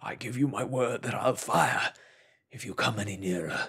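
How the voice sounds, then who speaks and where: Putting on a raspy, shaky character voice, a man speaks at a medium pitch. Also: moderate pace. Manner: threatening, shouting from the dark.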